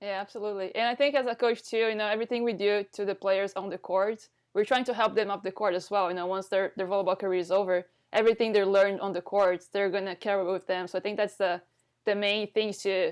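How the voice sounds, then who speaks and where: A woman with a non-native accent talks very fast at a medium pitch. Her intonation is monotone and flat. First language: not English. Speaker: volleyball coach, podcast host. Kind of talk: casual interview chat. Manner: halting, repeats words.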